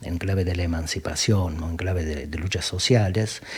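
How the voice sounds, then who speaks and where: Somewhat breathy and dark and mellow in tone, a man with a very deep, low pitch talks at a fairly quick pace. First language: southern Italian dialect (speaking Spanish). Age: 40s. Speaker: philosopher.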